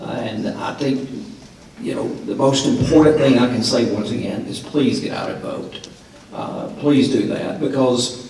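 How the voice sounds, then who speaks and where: Audible room echo and noticeable background noise surround the recording. Within it, a man talks at a fairly slow pace. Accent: Tennessee. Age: 50s. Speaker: radio host and forum moderator. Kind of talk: closing remarks at a political forum. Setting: high school auditorium with audience, broadcast live.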